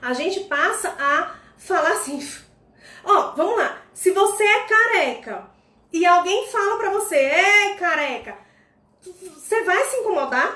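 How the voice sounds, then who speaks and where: A woman speaks in a raised, projected voice at an extremely high pitch, her pitch swinging very widely. She talks at a very slow pace with long, frequent pauses, and audible room echo surrounds her. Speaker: personal development coach. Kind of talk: instagram live talk. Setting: live stream.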